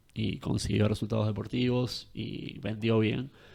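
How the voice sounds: Nasal and with vocal fry, a man's voice carries a slightly mellow tone.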